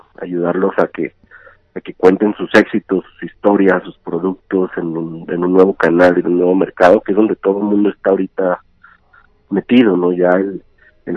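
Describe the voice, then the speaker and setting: A man speaks at a very deep, low pitch and a moderate pace. His intonation is monotone and flat. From Ciudad Juárez, northern Mexico. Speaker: entrepreneur in digital marketing. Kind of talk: interview. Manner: halting, with frequent repetitions.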